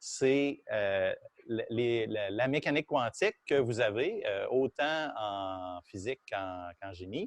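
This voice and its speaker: Recorded dry and close with no echo, a man with a Quebec accent speaks at a very slow pace and medium pitch, his intonation lively. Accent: Québécois French. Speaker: university physics professor. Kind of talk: lecture. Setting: classroom, also streamed on Zoom. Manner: loud; halting, many fillers.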